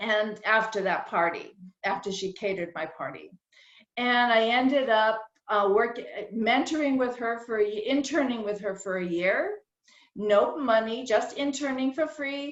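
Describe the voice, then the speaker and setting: An unremarkable speaking voice at a moderate pace, with ordinary pitch variation. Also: woman, fairly high pitch for a woman. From rural New England, later Southern California. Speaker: caterer and speaker. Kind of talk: personal talk at virtual meeting.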